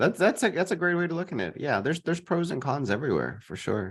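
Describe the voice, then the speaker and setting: In an American accent, a fairly high-pitched man with vocal fry talks at a very fast pace with very wide pitch swings against a quiet background. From Texas, San Antonio. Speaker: real estate investor. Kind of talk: interview.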